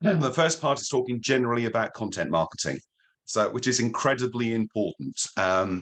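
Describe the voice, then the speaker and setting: A man's voice with vocal fry, fairly quick in pace and very even in loudness. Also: medium pitch for a man, lively intonation. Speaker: digital marketing trainer. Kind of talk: webinar lecture.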